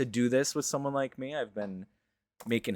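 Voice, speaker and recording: Delivered in a plain, everyday voice with an American accent, the speech runs at a fairly quick pace with ordinary pitch variation. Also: man. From New England, Western Massachusetts. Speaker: gaming content creator. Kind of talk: interview. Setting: online voice call.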